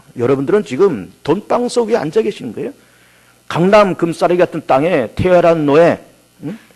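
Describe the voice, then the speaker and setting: With lively intonation and a fairly quick pace, a man talks at a fairly high pitch in an unremarkable speaking voice. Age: 50s. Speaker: pastor. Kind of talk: sermon.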